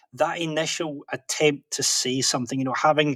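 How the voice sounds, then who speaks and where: A man with a Scottish accent talks at a fairly quick pace with fairly even intonation. The sound is dry and close, with no echo. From Scotland. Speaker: professional interpreter and author. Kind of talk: podcast interview.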